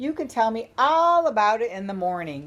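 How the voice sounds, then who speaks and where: A female-sounding, fairly high put-on character voice with very wide pitch swings at a moderate pace, on a very clean recording with a silent background. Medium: read story.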